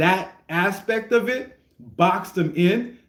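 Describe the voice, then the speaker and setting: Ordinary pitch variation in a man's voice, with music in the background. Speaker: streamer reacting to rap music. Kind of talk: casual livestream commentary. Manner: stuttering, repeats words.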